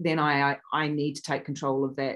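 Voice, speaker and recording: With a New Zealand accent, a woman speaks at a moderate pace. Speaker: actress. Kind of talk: interview. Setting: video call.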